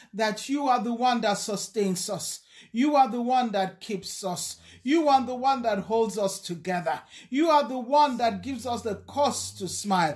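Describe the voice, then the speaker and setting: Speaking at a fairly slow pace, a woman uses lively intonation over a quiet background. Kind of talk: spoken prayer. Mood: fervent, worshipful. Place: home room. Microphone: phone near.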